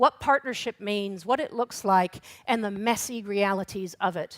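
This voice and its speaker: Recorded very cleanly with a silent background and a dry, close sound with no echo, a woman has an unremarkable speaking voice, a fairly high pitch and ordinary pitch variation. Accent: North American. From Canada and the United States. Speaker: regional council chief executive, workshop moderator. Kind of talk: conference workshop presentation. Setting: conference workshop with audience.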